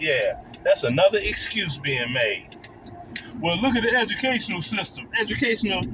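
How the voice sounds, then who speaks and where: A man talks in an animated tone at a moderate pace. Noticeable background noise sits behind him. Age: 60s. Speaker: YouTube commentator. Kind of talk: reaction video commentary.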